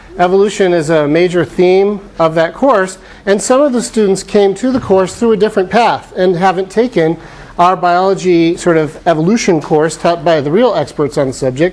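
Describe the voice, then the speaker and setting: There is noticeable background noise as a man with an American accent speaks at high pitch and a moderate pace, with ordinary pitch variation and very even loudness. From Arizona (Phoenix). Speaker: professor. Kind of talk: lecture.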